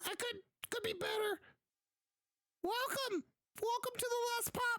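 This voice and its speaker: This put-on character voice is squeaky and extremely high in pitch. It moves at a moderate pace. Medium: actual play. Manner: doddering, muddled.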